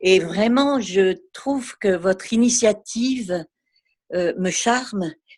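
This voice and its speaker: A woman at medium pitch and a very slow pace, with ordinary pitch variation. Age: 50s. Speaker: art therapist. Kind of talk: question from participant.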